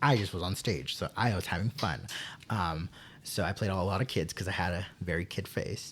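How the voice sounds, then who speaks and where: An American-accented man with a very deep, low, somewhat breathy voice talks at a moderate pace with lively intonation, on a very clean recording with a silent background. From Texas. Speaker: theater teacher. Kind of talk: casual interview chat. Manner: halting, many fillers and restarts.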